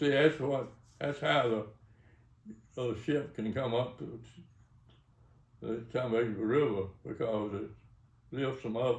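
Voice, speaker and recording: A somewhat breathy man speaks with a Mississippi accent at a fairly slow pace, with ordinary pitch variation. Long, frequent pauses break his speech amid audible room echo. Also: medium pitch for a man. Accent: Mississippi Southern. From US South. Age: 80s+. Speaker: retired engineer and businessman. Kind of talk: interview. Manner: halting.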